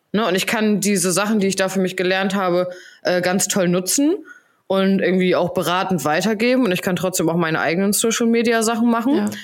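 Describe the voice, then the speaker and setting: A woman speaks with a slight Hamburg accent at a fairly quick pace. Her pitch is medium, with ordinary pitch variation. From Hamburg, northern Germany. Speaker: podcast co-host. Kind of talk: casual chat.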